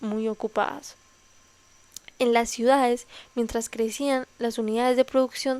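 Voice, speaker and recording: With long, frequent pauses, a woman speaks in a high, monotone, flat voice. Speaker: ASMR reader. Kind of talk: nonfiction history reading.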